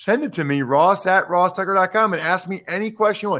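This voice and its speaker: Against a quiet background, a man speaks at a high pitch with lively intonation and a bright, sharp tone. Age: 40s. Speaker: podcast host and former football player. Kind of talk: casual sports talk.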